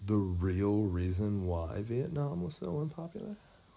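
The man's tone is dark and mellow, and his pitch is fairly low. He sounds somewhat breathy. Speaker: podcast host. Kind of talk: casual chat.

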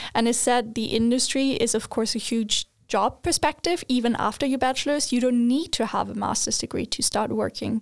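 A woman with a German accent and high pitch speaks at a fairly quick pace. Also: ordinary pitch variation, very even loudness. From Germany. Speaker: recent university graduate. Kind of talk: casual interview.

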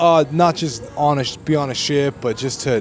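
Fairly high male speech with noticeable noise in the background. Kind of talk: angry rant, profane venting about being stuck in a job, street-casual. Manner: exasperated, heated, rapid-fire, swearing, rhetorical questions; sarcastic, incredulous, frustrated, emphatic.

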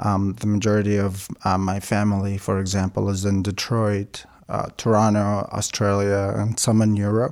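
A man with a fairly low pitch speaks at a moderate pace in a monotone, flat intonation, his loudness very even. The recording is very clean, with a silent background. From Iraq, Baghdad. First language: Aramaic (Chaldean). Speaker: violinist and music student. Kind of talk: interview. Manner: halting, many fillers.

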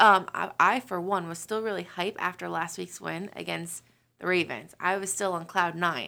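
Her voice sits fairly low for a woman, bright and sharp in tone, with vocal fry and an American accent. She speaks at a moderate pace with fairly even intonation on a very clean recording with a silent background. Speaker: football fan. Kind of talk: casual chat.

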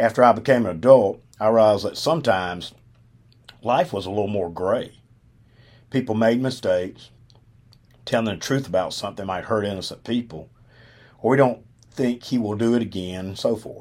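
Speaking fairly quickly with a Southern US accent, a man leaves long, frequent pauses. His medium pitch shows ordinary variation, and the recording is very clean with a silent background. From Alabama. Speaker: podcast host, retired football coach. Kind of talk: storytelling monologue. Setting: studio.

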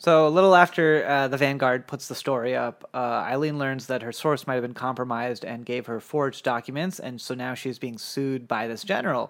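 A man with a normal speaking voice at medium pitch, fairly quick and with hardly any pauses, ordinary pitch variation, very clean recording and silent background. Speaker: podcast co-host and producer. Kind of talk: casual chat, recap podcast. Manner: laughs often, casual.

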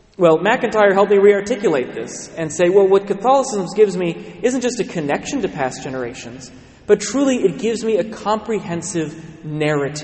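A man's high-pitched, lively voice at a moderate pace with hardly any pauses, over noticeable background noise. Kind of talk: sermon. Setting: church.

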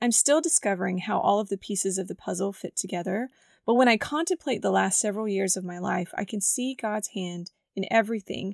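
A woman speaks at medium pitch and a moderate pace, raspy and with vocal fry. The sound is dry and close, with no echo. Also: very clean recording, silent background.

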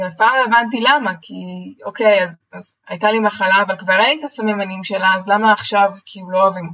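A woman's medium-pitched voice shows ordinary pitch variation as she talks at a fairly quick pace. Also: big swings in loudness. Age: 20s. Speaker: personal coach. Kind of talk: interview. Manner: energetic.

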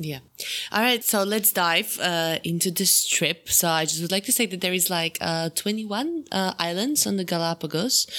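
A woman with a Slovak accent, bright and sharp in tone, at a moderate pace with ordinary pitch variation. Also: medium pitch for a woman. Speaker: podcast host. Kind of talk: casual interview. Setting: video call.

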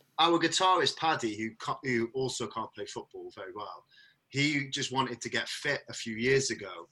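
In a South Wales accent, the speaker talks at a moderate pace in a bright, sharp tone with ordinary pitch variation. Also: man. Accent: South Wales valleys. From Wales, the valleys (Merthyr Tydfil). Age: 30s. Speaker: rock band vocalist. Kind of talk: casual chat.

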